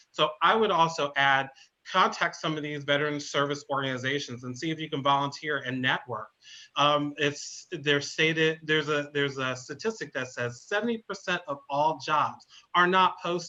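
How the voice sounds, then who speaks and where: A man with an American accent and an unremarkable speaking voice talks at a moderate pace, his fairly high pitch showing ordinary variation. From northern US. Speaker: veterans services coordinator. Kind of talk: webinar panel talk.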